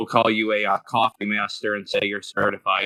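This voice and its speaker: A loud man speaks with a bright, sharp tone and fairly even intonation in a dry, close sound with no echo. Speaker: animator and audio editor, podcast guest. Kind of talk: casual chat.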